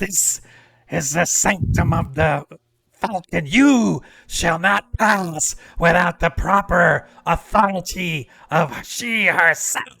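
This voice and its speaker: Using a raspy, put-on character voice pitched high for a man, a man speaks at a very slow pace. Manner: commanding, authoritative.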